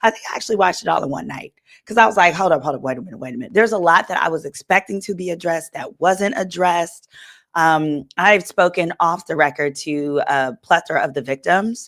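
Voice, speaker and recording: Her pitch fairly low, a woman speaks very fast with lively intonation and big swings in loudness, in a very clean recording with a silent background. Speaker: attorney. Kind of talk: casual chat.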